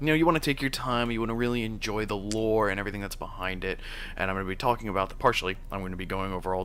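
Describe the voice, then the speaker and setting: The voice shows ordinary pitch variation against audible room echo. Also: man. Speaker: video game streamer. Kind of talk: let's play commentary. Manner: fast.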